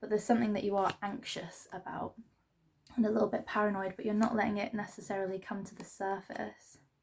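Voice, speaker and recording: A woman speaks quietly at a very fast pace, with a monotone, flat intonation and big swings in loudness. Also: medium pitch for a woman. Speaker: tarot reader. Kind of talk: tarot reading. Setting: at home. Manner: quiet, subdued; hesitant, filler-heavy.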